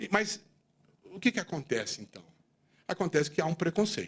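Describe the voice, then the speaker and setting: A man is speaking. His pitch swings very widely. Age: 60s. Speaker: accountant and business leader giving a talk. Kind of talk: speech to audience. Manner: animated.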